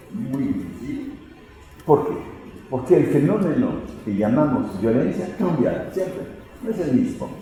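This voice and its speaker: A man speaks with lively intonation. Noticeable background noise and audible room echo surround him. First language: French (speaking Spanish). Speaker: sociology professor. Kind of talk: lecture. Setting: lecture hall at a law faculty. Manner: halting, with hesitations.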